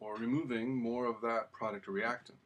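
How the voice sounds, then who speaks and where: Speaking with an American accent, a man talks at a moderate pace. His voice sits at a medium pitch with a bright, sharp tone. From US West Coast. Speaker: chemistry teacher. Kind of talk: lecture.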